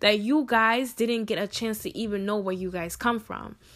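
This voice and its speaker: At a moderate pace, a woman speaks in a fairly high voice with an animated tone. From Ghana, raised in US. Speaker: podcaster. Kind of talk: personal monologue.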